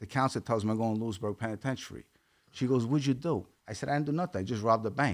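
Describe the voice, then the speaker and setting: A man with a Brooklyn accent talks at a very fast pace. His pitch varies in an ordinary way. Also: medium pitch for a man, very clean recording, silent background. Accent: Brooklyn New York. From Brooklyn, New York. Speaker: former mob associate turned podcaster. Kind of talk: storytelling in an interview.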